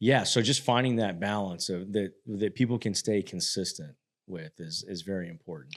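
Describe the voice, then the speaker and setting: The recording is very clean, with a silent background. A man in an ordinary speaking voice talks at a moderate pace, his fairly low pitch showing ordinary variation. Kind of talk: podcast host talk.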